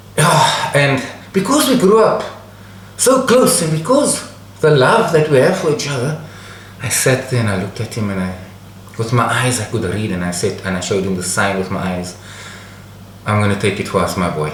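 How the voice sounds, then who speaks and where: Speaking at a moderate pace with long, frequent pauses, a man uses a medium pitch with very wide pitch swings, while noticeable background noise and audible room echo fill the recording. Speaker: storyteller, channel host. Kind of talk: personal anecdote storytelling.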